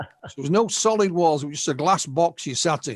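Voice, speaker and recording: In a very clean recording with a silent background and a dry, close sound with no echo, a man with a northern English accent speaks at a fairly quick pace in a fairly high pitch with ordinary pitch variation. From northern England. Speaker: UFO researcher and writer. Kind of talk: interview storytelling. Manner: halting, repeats words.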